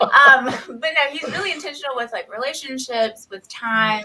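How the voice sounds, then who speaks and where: A woman speaks with a Southern US accent. Her pace is moderate. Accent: Southern country. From US South, Knoxville, Tennessee. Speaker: nurse. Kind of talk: casual interview chat.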